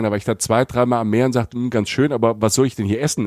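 Against a silent background on a very clean recording, a man's voice has a dark, mellow tone. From Palatinate, southern Germany (Südpfalz). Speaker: travel podcaster and former radio host. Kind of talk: casual chat.

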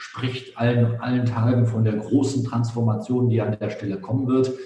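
Over music in the background, a man speaks at medium pitch in a monotone, flat intonation, with audible room echo. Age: 50s. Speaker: business author and consultant. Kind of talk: podcast interview.

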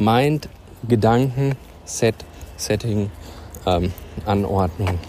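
The speech comes at a very slow pace with ordinary pitch variation. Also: man. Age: 30s. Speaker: personal development podcaster. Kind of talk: motivational monologue. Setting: outdoors. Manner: animated.

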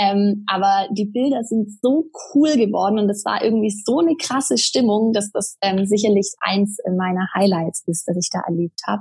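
Somewhat breathy and medium in pitch, a woman talks at a moderate pace with lively intonation. She leaves hardly any pauses. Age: 30s. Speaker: traveller sharing her sabbatical experience. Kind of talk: interview. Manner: hesitant with many fillers.

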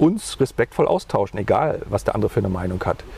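A man speaks against noticeable background noise. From East Germany (GDR), Mecklenburg-Vorpommern. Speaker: politician, former radio presenter. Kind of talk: interview. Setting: outdoors on a bench by a lake. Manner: hesitant, repetitive.

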